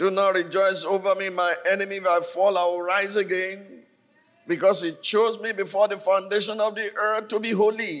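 A man speaks with a high pitch and monotone, flat intonation. His pace is moderate. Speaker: preacher. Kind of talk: sermon. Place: church. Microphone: handheld.

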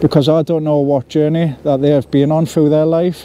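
The intonation stays fairly even over light background noise, and the sound is dry with no echo. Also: man. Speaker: vlogger. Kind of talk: personal talk to camera about mental health. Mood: serious, heartfelt. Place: forest.

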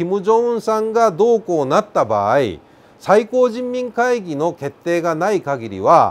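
Speaking in a high voice, a man uses lively intonation. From Kansai, Japan (Zainichi Korean). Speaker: North Korean defector and commentator; commentator. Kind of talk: explainer talk to camera. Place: studio. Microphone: lapel.

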